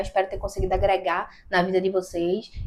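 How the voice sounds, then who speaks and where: Here a woman speaks at a medium pitch. Her pace is fairly quick. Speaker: YouTuber giving video tips. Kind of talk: tutorial. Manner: talkative, animated.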